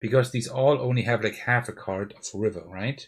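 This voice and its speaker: A somewhat breathy voice with a German accent shows ordinary pitch variation. The recording is very clean, with a silent background. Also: man. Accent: German accent, mild. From Germany. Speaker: board game youtuber. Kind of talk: live game playthrough. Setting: livestream with face cam and laptop. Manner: thinking aloud, hesitant.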